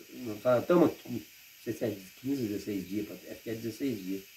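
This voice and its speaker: Big swings in loudness mark this man's fairly quick speech, which has long, frequent pauses and ordinary pitch variation. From Paraná, Brazil. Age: 60s. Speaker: retired rural worker. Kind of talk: interview.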